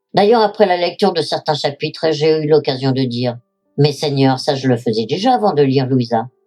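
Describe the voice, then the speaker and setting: A woman with lively intonation at a moderate pace, music playing in the background. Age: 70s. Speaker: widow giving religious testimony. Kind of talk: testimony. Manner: formal.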